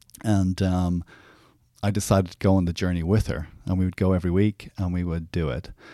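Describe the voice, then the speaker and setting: A man's very deep, low, dark, mellow voice in an Irish accent, fairly quick in pace with fairly even intonation, dry and close with no echo in a very clean recording with a silent background. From Ireland. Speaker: therapist and actor. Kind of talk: casual chat. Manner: halting.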